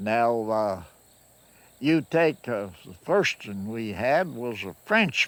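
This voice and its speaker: On a very clean recording with a silent background, a man of medium pitch speaks very slowly with a Kentucky accent and very wide pitch swings. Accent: Kentucky Southern American. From Kentucky, USA. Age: 80s+. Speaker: farmer. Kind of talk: interview answer. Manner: slow, hesitant.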